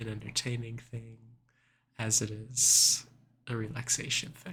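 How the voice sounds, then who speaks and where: A soft-spoken man with a bright, sharp tone talks very slowly at a medium pitch. Vocal fry runs through his voice. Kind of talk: ASMR soft-spoken talk to camera.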